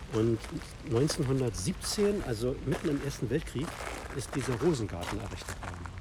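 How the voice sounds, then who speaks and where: The voice swings very widely in pitch at a moderate pace. Noticeable background noise and audible room echo come through. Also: man, medium pitch for a man. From Berlin (Steglitz). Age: 50s. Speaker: author and illustrator. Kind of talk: casual interview. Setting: outdoors in a city park.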